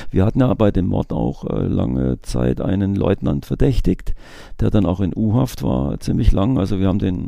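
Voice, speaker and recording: A man's voice with a dark, mellow tone. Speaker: retired police investigator. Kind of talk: interview.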